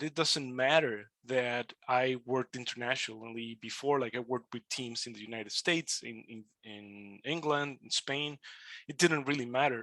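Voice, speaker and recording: A man at a moderate pace, with a medium pitch and a bright, sharp tone, in a dry, close sound with no echo. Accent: Spanish. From Mexico. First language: Spanish. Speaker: immigrant podcaster. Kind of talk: webinar talk. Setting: webinar.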